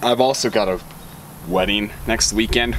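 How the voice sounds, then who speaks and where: Noticeable background noise under a man's fairly slow speech. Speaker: vlogger. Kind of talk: casual vlog chat. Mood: upbeat, relaxed. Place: open country.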